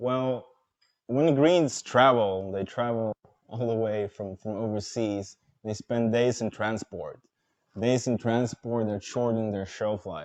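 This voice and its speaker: With a Dutch accent and a fairly low pitch, a man speaks at a fairly slow pace with ordinary pitch variation in a dry, close sound with no echo. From Netherlands. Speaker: startup co-founder, urban farmer. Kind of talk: presentation talk. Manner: halting, many repeated words. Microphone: poor audio, radio mic at edge of range.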